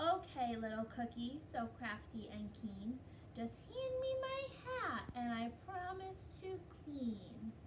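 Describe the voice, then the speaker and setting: A woman uses a sing-song, put-on character voice at a fairly slow pace. Loud background noise runs underneath. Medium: read story. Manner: singsong rhyming.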